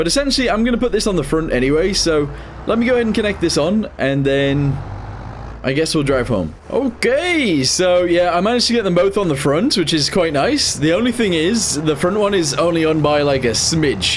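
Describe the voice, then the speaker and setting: A man at a high pitch with very wide pitch swings and very even loudness, talking at a fairly quick pace amid audible room echo and noticeable background noise. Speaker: gaming youtuber. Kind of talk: gameplay commentary.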